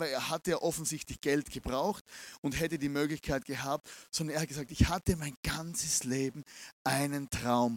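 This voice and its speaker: On a very clean recording with a silent background, a man with a fairly high pitch and an unremarkable speaking voice talks at a moderate pace with ordinary pitch variation. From Austria, Vienna. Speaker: pastor. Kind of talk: sermon. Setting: stage with audience.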